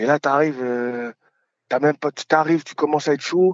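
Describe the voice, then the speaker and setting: A man speaks with ordinary pitch variation in a fairly high voice. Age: 30s. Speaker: podcaster talking about shyness. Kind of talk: interview. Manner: hesitant.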